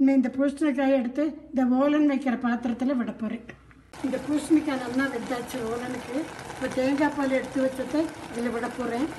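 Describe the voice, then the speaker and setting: Light background noise runs under a woman's high-pitched voice. Her intonation is monotone and flat. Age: 80s+. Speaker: home cook. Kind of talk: cooking demonstration.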